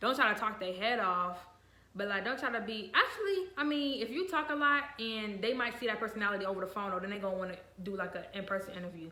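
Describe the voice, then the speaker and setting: Noticeable background noise sits behind a woman speaking at a very fast pace. Her pitch is fairly high. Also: ordinary pitch variation. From Virginia and Ohio. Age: young. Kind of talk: casual talk to camera.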